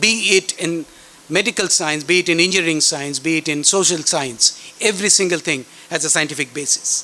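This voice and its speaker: Against noticeable background noise, a man with a Bengali accent speaks at a fairly quick pace and a fairly high pitch. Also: ordinary pitch variation. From India, West Bengal. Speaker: chief guest speaker at school science fair. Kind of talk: speech to students.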